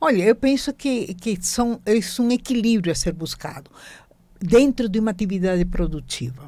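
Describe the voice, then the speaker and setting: With lively intonation, the speaker moves at a moderate pace in a dark, mellow tone. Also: woman, fairly high pitch for a woman. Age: 80s+. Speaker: business consultant. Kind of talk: interview answer.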